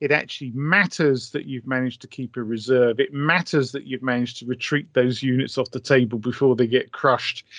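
Against a quiet background, the speaker moves at a fairly quick pace with a British accent and hardly any pauses. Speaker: author and wargaming historian. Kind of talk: casual interview chat.

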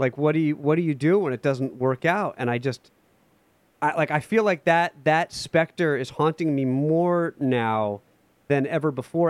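A man with an unremarkable speaking voice and a fairly high pitch talks at a moderate pace, the sound dry and close with no echo. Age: 30s. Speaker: music director and pianist. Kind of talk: casual interview. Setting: remote call.

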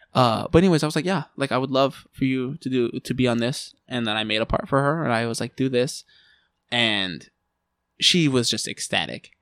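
Recorded very cleanly against a silent background, with a dry, close sound and no echo, a man with a plain, everyday voice speaks at a medium pitch, a moderate pace and ordinary pitch variation. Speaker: musician. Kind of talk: casual chat. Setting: studio.

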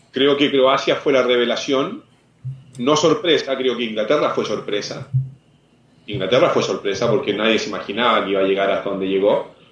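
At a fairly quick pace, a man talks in an ordinary speaking voice of medium pitch with ordinary pitch variation. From Chile, Santiago. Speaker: former footballer and football commentator. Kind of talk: interview.

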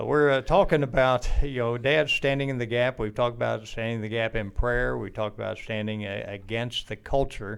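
At a fairly quick pace with hardly any pauses, a man speaks in an unremarkable speaking voice at medium pitch with fairly even intonation. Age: 60s. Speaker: podcast host. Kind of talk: casual chat.

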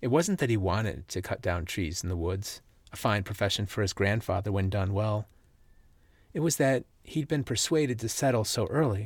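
Lively intonation marks this man's fairly low voice. He speaks at a moderate pace, sounding somewhat breathy. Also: very clean recording, silent background. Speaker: podcast host and teacher. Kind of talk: literary audiobook-style reading of a personal story. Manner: earnest, conversational and sincere in the intro and outro.

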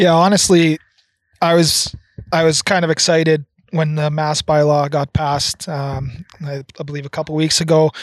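A man with a Canadian accent at a moderate pace, monotone and flat in intonation, in a dry, close sound with no echo. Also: fairly high pitch for a man. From Red Deer, Alberta, Canada. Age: 30s. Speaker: podcast co-host. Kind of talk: casual chat. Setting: outdoors on a deck.

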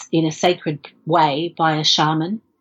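In an Australian accent, a woman speaks very slowly with a very deep, low pitch. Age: 40s. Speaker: film director. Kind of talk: interview. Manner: halting, many fillers.

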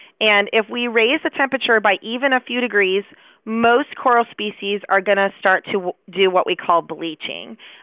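A woman speaks with an American accent in a plain, everyday voice. Her pitch is fairly high with ordinary variation, at a moderate pace. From Chicago. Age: 40s. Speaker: biology professor. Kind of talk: interview.

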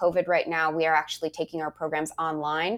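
In a normal speaking voice, a woman talks at a fairly quick pace and a fairly low pitch with an American accent, the sound dry and close with no echo. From rural US, on a reservation. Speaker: nonprofit executive director. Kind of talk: interview.

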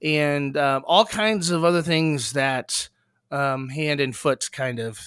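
A man with a fairly high pitch, ordinary pitch variation and an ordinary speaking voice, on a very clean recording with a silent background and a dry, close sound with no echo. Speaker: podcast co-host. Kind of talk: casual chat.

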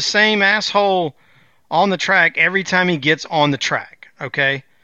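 A loud man's voice, high-pitched, at a fairly slow pace. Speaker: co-host, racing podcaster. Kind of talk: casual banter podcast about racing. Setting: remote from North Carolina studio.

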